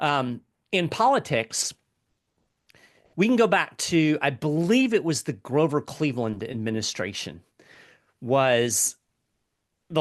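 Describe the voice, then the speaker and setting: A man speaks at a fairly slow pace with an American accent. The background is quiet. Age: 50s. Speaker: economic commentator. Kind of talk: interview conversation. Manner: hesitant, with many fillers.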